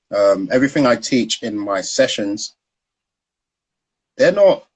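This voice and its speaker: A man speaks with a South London accent. His pace is fairly slow. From South London, Peckham. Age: 30s. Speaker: founder of a stock trading education business, former trader. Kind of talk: interview on Instagram live. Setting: online live video stream.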